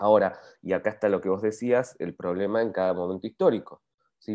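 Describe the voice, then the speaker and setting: A man with a plain, everyday voice talks at a fairly quick pace, using a fairly low pitch and fairly even intonation. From Argentina, Patagonia (Bariloche). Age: 40s. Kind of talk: interview.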